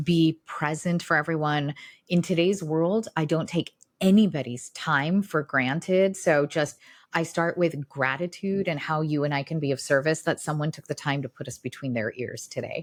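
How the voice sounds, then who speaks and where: The speaker has an American accent and an animated tone. Pace is moderate, with ordinary pitch variation. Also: woman, very deep, low pitch for a woman. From US Midwest, small-town Illinois. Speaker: neurologist and integrative medicine doctor. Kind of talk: podcast interview.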